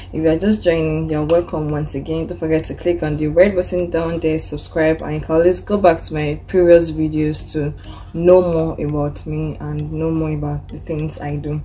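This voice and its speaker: Speech with a Nigerian accent, hardly any pauses and big swings in loudness, over noticeable background noise. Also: woman, moderate pace. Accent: Nigerian (Yoruba) English. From Nigeria, Osun State (Ile-Ife). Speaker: vlogger. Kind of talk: personal vlog.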